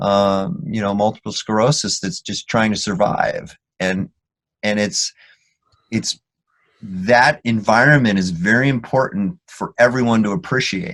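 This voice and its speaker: At a fairly slow pace, a man talks in a fairly low voice with lively intonation. The recording sounds dry and close, without echo. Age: 50s. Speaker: physician and sports performance consultant. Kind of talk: interview. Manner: halting, many fillers and restarts.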